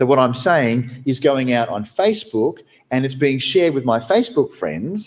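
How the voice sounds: Intonation stays lively as the speaker reads in a natural reading voice.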